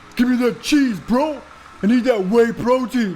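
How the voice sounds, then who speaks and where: A man's put-on character voice at an extremely high pitch, with clear background noise. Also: moderate pace. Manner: bro-like, macho, demanding.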